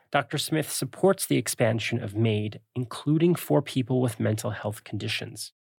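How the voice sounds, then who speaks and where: The voice is somewhat breathy and moves at a moderate pace. Pitch variation is ordinary. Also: man. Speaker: podcast host. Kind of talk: scripted narration and interview.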